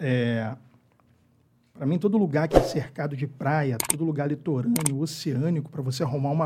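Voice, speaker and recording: A man speaks at a moderate pace in a fairly high voice that is somewhat breathy and dark, mellow in tone, with ordinary pitch variation. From Rio de Janeiro, Brazil. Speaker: podcast host. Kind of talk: casual interview chat.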